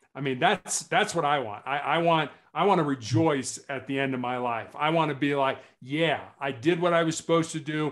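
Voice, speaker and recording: A man's fairly high-pitched, plain, everyday voice at a moderate pace, with ordinary pitch variation, on a very clean recording with a silent background. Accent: American. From United States. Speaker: cancer patient and motivational speaker. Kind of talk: interview.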